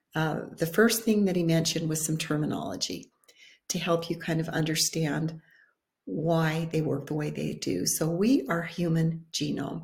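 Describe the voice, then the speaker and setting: A woman speaks at a moderate pace with a fairly low pitch and ordinary pitch variation. Her voice carries vocal fry. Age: 60s. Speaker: wellness video host. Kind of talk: informal talk to camera.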